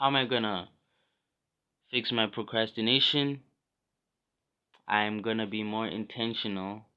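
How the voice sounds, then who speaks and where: The man's pitch is medium. He talks at a fairly slow pace with long, frequent pauses. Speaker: vlogger. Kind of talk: personal vlog monologue. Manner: hesitant, many fillers.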